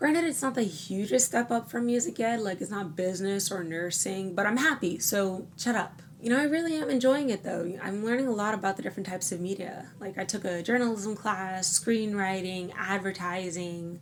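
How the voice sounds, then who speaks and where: A woman's medium-pitched voice with lively intonation, at a moderate pace with hardly any pauses. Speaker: college student vlogger. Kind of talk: personal vlog.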